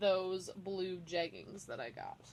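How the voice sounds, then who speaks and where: This woman's voice sits at a medium pitch. She talks at a fairly slow pace. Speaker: fashion haul vlogger. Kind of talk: clothing haul video. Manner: animated.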